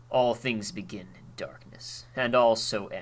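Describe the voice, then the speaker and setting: Putting on a character voice, a man speaks fairly slowly at a medium pitch. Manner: solemn, ominous.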